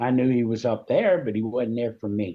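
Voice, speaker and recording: This man's voice sits at a medium pitch. He speaks at a moderate pace. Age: 60s. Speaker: war veteran. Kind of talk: testimony. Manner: halting.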